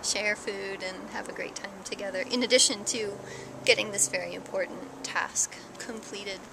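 A woman is heard with noticeable background noise. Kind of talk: interview answer. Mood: warm, enthusiastic. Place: garden. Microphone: phone near.

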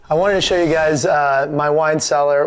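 A man's monotone voice, flat in intonation, at a moderate pace. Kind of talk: casual tour. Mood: cheerful, proud. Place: home room.

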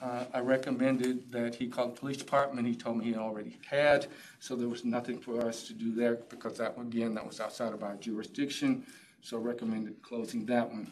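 With light background noise behind him, a man talks at a fairly quick pace in a flat, monotone delivery. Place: meeting room.

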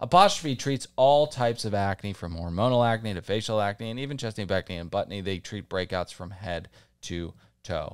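A man talks at a fairly quick pace with very wide pitch swings on a very clean recording with a silent background. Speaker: comedy podcast host. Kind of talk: casual chat.

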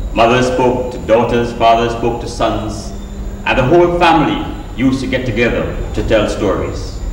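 There is light background noise and audible room echo as a man speaks at a moderate pace. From Trinidad and Grenada. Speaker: storyteller. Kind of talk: live storytelling show to an audience. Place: stage.

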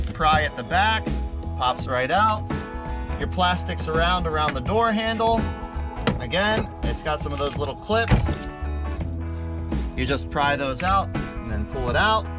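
Clear music plays in the background. A man speaks at a fairly slow pace with long, frequent pauses. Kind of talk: tutorial. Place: street. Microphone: camera far.

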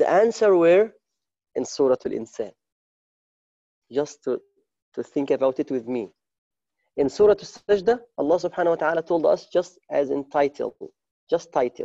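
A man speaks at a moderate pace with lively intonation and a dark, mellow tone. Long, frequent pauses break his speech against a quiet background. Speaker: religious teacher. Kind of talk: sermon. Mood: warm, smiling. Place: home room. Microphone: earbuds.

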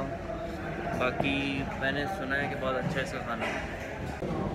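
Loud background noise runs under this man's talking. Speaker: travel food vlogger. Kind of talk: casual vlog chat. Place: cafe. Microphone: phone near.

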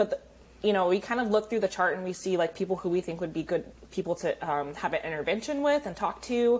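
Her pitch rises and falls in an ordinary way. The speaker is a woman. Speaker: guest. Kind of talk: interview answer. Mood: upbeat, friendly. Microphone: earbuds.

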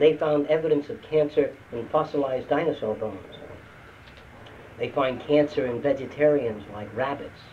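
A man at a fairly quick pace with light background noise. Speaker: lecturer. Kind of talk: lecture. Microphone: old recording.

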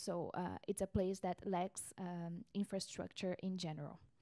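Very slowly, a woman speaks with a dark, mellow tone and fairly even intonation. The background is quiet. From Brazil. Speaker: researcher. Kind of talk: panel presentation. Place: meeting room. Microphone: handheld.

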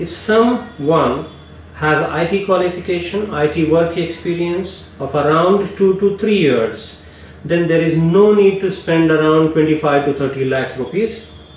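With audible room echo, a man speaks very slowly in a high pitch with ordinary pitch variation. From India. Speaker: immigration lawyer. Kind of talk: advice monologue to camera.

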